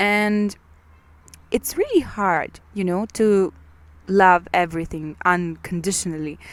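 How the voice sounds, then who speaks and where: A woman's medium-pitched voice in a Ukrainian accent, very slow, with fairly even intonation and long, frequent pauses. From Ukraine. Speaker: podcaster. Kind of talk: personal monologue. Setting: outdoors in a park. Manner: halting, with many fillers and repetitions.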